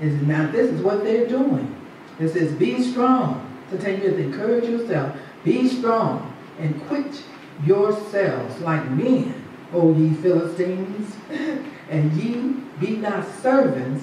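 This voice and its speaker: The speech goes at a very slow pace. Strong room echo and light background noise are present. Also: woman. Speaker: preacher. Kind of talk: sermon. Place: church.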